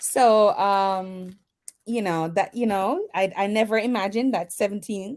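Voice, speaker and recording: Recorded very cleanly against a silent background, a woman speaks with a Jamaican accent at a medium pitch with ordinary pitch variation. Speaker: mentor and educator. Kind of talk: interview on internet radio. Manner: hesitant, many fillers.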